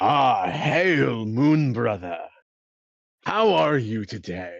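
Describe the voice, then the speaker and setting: A man's put-on character voice at a medium pitch and a very slow pace, with very wide pitch swings. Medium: actual play. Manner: warm, formal.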